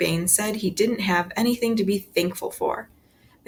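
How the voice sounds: The pitch varies in an ordinary way as the speaker reads in a natural voice.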